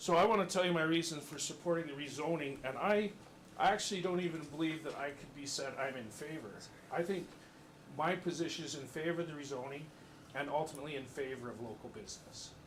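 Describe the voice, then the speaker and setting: Through audible room echo, a man speaks at a very fast pace and a fairly high pitch, with ordinary pitch variation and big swings in loudness. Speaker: resident speaking at council meeting, business owner. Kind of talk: public comment at council meeting. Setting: council chamber, full audience.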